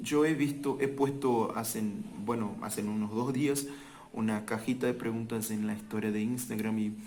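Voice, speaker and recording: Recorded with audible room echo, a man speaks fairly slowly with lively intonation. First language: Portuguese (speaking Spanish). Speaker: language teacher. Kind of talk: casual talk to camera. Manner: halting.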